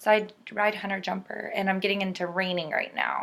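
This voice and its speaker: A woman talks at a fairly quick pace in a Californian accent. Her tone is bright and sharp. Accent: Californian American English. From US West Coast, Southern California. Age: 20s. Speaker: student teacher. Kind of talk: personal introduction. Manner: casual, hesitant with many fillers.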